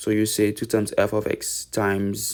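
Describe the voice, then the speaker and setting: A man with a non-native accent at a medium pitch, in a very clean recording with a silent background. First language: not English. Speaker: math tutor. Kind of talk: tutorial. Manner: halting.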